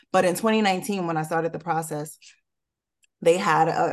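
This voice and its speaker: With an American accent, a woman speaks at a moderate pace in a fairly low pitch and fairly even intonation over a quiet background. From Newark, New Jersey. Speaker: real estate developer. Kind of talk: interview.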